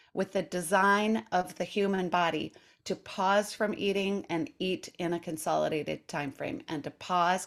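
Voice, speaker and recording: A woman with an unremarkable speaking voice at a medium pitch, a fairly slow pace and ordinary pitch variation, on a very clean recording with a silent background. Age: 60s. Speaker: intermittent fasting coach and author. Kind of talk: casual interview chat.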